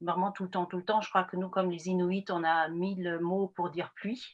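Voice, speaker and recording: At a fairly slow pace, a woman with a medium pitch speaks over a quiet background. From northern Germany, Friesland. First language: Frisian/German (speaking French). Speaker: anthropologist. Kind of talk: lecture. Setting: video call. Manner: hesitant, many fillers.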